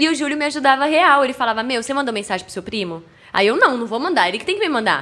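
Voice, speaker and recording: A woman projects a raised voice at a very fast pace and high pitch, her bright, sharp, animated tone moving through very wide pitch swings and big swings in loudness. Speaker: TV presenter of product ads. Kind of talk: casual chat. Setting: studio.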